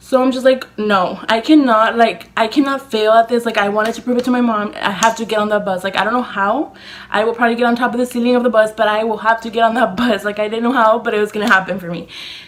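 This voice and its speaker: A woman with a fairly high pitch talks at a very fast pace, with hardly any pauses. Noticeable background noise is present. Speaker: beauty YouTuber. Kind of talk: storytime vlog. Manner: animated.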